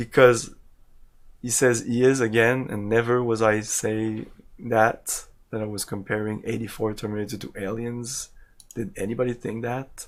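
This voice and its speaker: A man with a strong French Canadian accent speaks at a moderate pace in a medium pitch, his intonation fairly even but his loudness swinging widely, on a very clean recording with a silent background. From Quebec, Canada. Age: 40s. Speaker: video game streamer. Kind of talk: live gameplay stream chat. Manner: casual, halting with repetitions.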